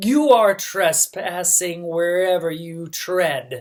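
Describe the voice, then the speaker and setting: A growling, put-on character voice at a middle pitch, delivered at a very slow pace. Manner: snarling.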